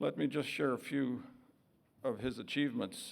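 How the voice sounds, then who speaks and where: A man talks with a Canadian accent at a medium pitch. He moves at a fairly quick pace. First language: Woodland Cree. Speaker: vice-regal dignitary. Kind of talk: formal speech. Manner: formal.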